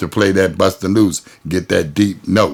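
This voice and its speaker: A man with an American accent and vocal fry. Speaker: go-go musician. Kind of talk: interview storytelling. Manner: casual, relaxed.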